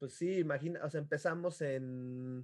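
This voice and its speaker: The background is quiet. A man talks at a fairly slow pace with ordinary pitch variation. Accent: Mexican. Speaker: podcast co-host. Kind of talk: casual chat.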